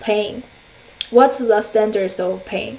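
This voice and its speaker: A woman with a Chinese accent talks at a fairly high pitch with ordinary pitch variation, amid noticeable background noise and audible room echo. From China. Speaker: counselor and lecturer. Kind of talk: lecture. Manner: halting, many fillers.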